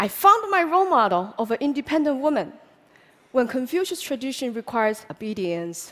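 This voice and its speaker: A woman with a Chinese accent speaks in a high pitch at a moderate pace with very wide pitch swings. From China. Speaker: public speaker. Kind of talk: public talk.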